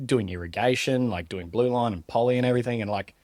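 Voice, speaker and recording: Here a man talks at a fairly quick pace with ordinary pitch variation. The recording is very clean with a silent background, and the sound is dry and close with no echo. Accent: Australian. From South Australia, Mount Gambier. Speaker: plumbing apprentice. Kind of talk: podcast interview. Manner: casual, filler-heavy.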